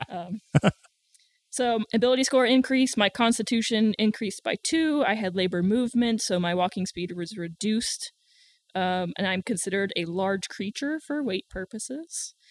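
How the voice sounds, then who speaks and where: In a Southern US accent, a woman with a fairly high pitch and ordinary pitch variation talks at a moderate pace, the sound dry and close with no echo on a very clean recording with a silent background. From US South. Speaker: tabletop game player. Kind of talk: casual chat.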